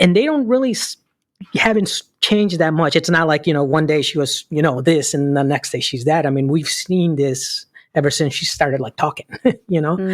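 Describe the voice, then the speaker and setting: At a fairly quick pace, a man with a Chicago accent speaks with ordinary pitch variation. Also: fairly high pitch for a man, dry, close sound with no echo. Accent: Chicago American English. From Chicago, Illinois. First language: Spanish. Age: 50s. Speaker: school counselor. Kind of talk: interview. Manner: halting.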